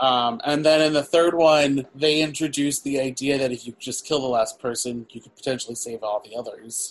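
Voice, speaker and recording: A man with a fairly high pitch speaks in a plain, everyday voice at a moderate pace, with fairly even intonation, big swings in loudness, and hardly any pauses. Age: 30s. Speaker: podcast co-host, film reviewer. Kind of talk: casual chat.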